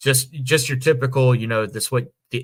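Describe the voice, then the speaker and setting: Speaking at a moderate pace, a man with an American accent has a medium-pitched voice with ordinary pitch variation. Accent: Northeast Ohio, slightly changed. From Northeast Ohio / Western Pennsylvania. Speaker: podcast host. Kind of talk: casual chat.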